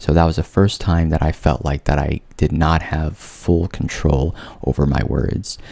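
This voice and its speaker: With noticeable background noise behind him, a man with a very deep, low voice speaks fairly slowly and with fairly even intonation. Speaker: vlogger with a stutter. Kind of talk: personal testimony vlog. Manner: casual with repetitions and fillers.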